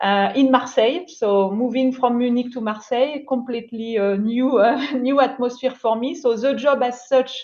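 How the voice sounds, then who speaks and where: With a French accent, a woman speaks at a high pitch and moderate pace. Her intonation is fairly even, with hardly any pauses. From France. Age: 40s. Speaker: finance executive, mentor. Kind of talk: panel discussion. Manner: halting.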